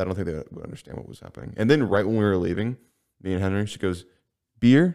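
Speaking at a very fast pace, a man has a fairly low pitch and a dark, mellow tone. His loudness swings in big jumps. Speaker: podcast host. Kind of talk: casual chat. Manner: fast talker when excited.

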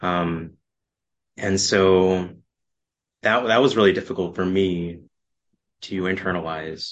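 A man's very deep, low voice with an American accent, very slow and fairly even, broken by long, frequent pauses. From Texas, Austin. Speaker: podcast guest sharing love story. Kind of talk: casual chat.

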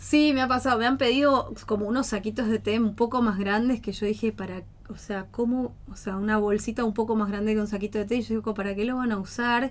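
Speaking at a fairly quick pace with hardly any pauses, this woman has an unremarkable speaking voice, a fairly high pitch and fairly even intonation. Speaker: eco-friendly small business owner. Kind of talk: radio interview.

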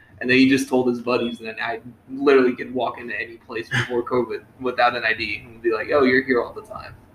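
Noticeable background noise sits behind a man who talks very fast with hardly any pauses. His loudness swings widely. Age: 20s. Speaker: podcast host. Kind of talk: casual chat.

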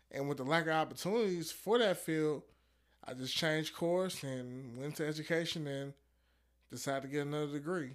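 A man talks at a fairly quick pace in a normal speaking voice, pitched fairly high with ordinary pitch variation. The recording is very clean, with a silent background. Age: 20s. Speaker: educator. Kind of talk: casual chat.

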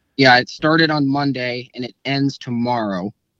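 With a Midwestern American accent, a man talks at a medium pitch in a bright, sharp tone, keeping his intonation fairly even. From US Midwest, central Iowa. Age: 20s. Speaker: turkey hunter. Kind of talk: casual chat.

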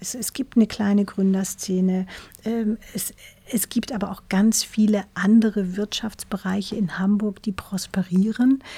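A woman speaks at medium pitch in a dark, mellow, somewhat breathy tone, her intonation fairly even but her loudness swinging widely. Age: 50s. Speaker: tech company CEO. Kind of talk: interview. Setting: studio. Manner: hesitant, many fillers.

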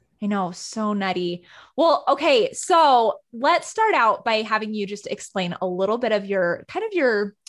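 This woman has a normal speaking voice with a fairly high pitch. Her intonation is lively. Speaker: podcast host. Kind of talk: casual interview chat. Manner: warm, friendly.

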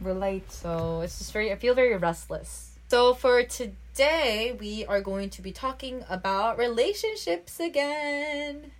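With hardly any pauses and big swings in loudness, a woman talks at a fairly slow pace over noticeable background noise. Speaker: podcast co-host. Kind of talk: casual chat.

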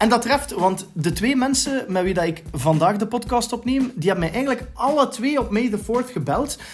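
Music sits in the background as a man speaks with a Flemish accent. His pace is moderate, and his pitch swings very widely. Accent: Flemish Dutch. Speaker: podcast host. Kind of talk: casual chat.

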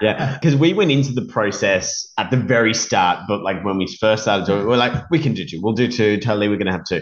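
A man with an Australian accent speaks very fast and barely pauses, his fairly low voice full of lively intonation over noticeable background noise. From Sydney, Australia. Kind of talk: casual chat.

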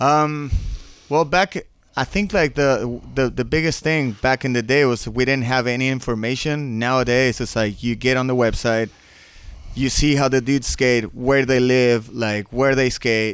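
A man's normal speaking voice at medium pitch, with ordinary pitch variation, very even loudness and a moderate pace. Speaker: skateboarder and sports brand team manager. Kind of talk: casual chat.

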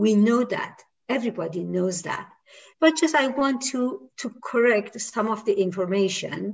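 A woman with a Persian accent, fairly high-pitched and somewhat breathy, with lively intonation at a fairly slow pace. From Iran. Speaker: women's rights activist. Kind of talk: interview discussion. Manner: hesitant with fillers.

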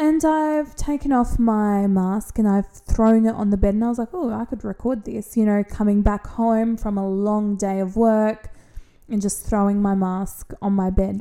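A woman with an Australian accent, fairly high pitch, a dark, mellow tone, ordinary pitch variation and a moderate pace. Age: 30s. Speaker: podcast co-host. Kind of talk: casual chat.

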